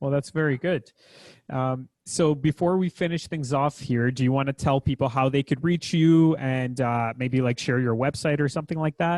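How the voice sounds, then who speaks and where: Speaking in a Canadian accent with a plain, everyday voice, a man keeps a fairly high pitch, fairly even intonation, very even loudness and a moderate pace, over a quiet background with a dry, close sound and no echo. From Canada. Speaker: podcast host. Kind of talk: podcast outro; interview.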